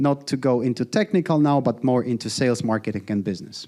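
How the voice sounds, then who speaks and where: On a very clean recording with a silent background, a man with a Polish accent speaks in a dark, mellow tone with lively intonation. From Poland. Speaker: founder giving workshop talk. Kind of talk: live workshop presentation. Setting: live event with audience. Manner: casual, interactive with audience.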